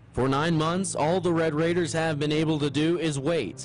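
Music plays behind a man with an energetic, upbeat tone and a fairly high pitch. He speaks at a moderate pace with very even loudness. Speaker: sports anchor and reporter. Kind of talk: sports news anchor read.

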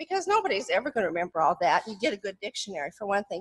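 The surroundings are quiet. The voice belongs to a woman. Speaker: retired professor, author; retired professor. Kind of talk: academic presentation. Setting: stage with audience. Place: hall.

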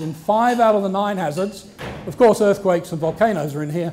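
Over music in the background, a man with a high pitch speaks at a fairly quick pace with ordinary pitch variation. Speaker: marine geologist and professor. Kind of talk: lecture talk. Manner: soft-spoken. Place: hall.

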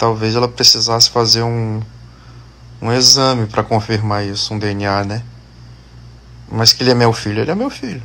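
Speaking at a moderate pace, a man keeps his intonation monotone and flat, with long, frequent pauses. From Maranhão, São Luís (Brazil); Maranhão, Brazil. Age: 30s. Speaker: social media influencer. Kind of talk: casual Q&A video answering followers. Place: home room. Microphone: phone near.

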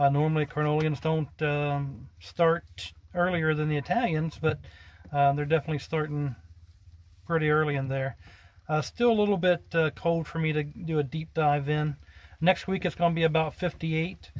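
A man's intonation stays fairly even while he talks at a moderate pace. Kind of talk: casual vlog chat. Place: car. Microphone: phone near.

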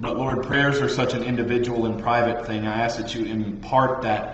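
Light background noise and audible room echo surround a man speaking at a moderate pace. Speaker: Bible study teacher. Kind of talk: sermon. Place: classroom. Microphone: webcam.

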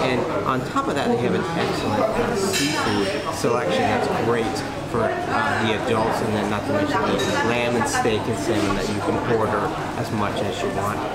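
The speaker goes at a fairly quick pace with crowd noise in the background. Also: man. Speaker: food reviewer host. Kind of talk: review summary to camera. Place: cafe. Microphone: camera far.

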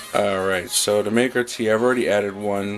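Faint music plays in the background as a man speaks. His fairly low pitch stays in a monotone, flat intonation. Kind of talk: tutorial. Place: kitchen. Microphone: phone near.

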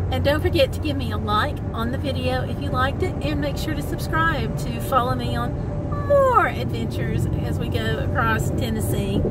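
A woman's voice, dry with no echo, with music in the background. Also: moderate pace. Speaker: travel vlogger. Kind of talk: casual vlog chat. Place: car. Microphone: phone near.

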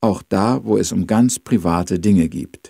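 Over a quiet background, the voice has a dark, mellow tone and a dry sound with no echo. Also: man. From Austria. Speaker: radio missionary, Bible teacher. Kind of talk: Bible overview talk. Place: home room. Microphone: studio mic.

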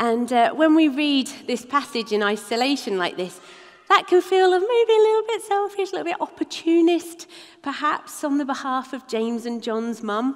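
At a moderate pace, a woman speaks in a high voice with very wide pitch swings. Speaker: preacher. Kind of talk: sermon. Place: church.

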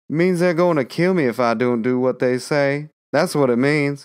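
A man's put-on character voice, drawling at a moderate pace, fairly high in pitch with ordinary pitch variation and very even loudness. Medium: read story. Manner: drawling, folksy, deferential.

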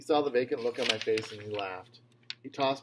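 Someone is reading aloud in a natural voice.

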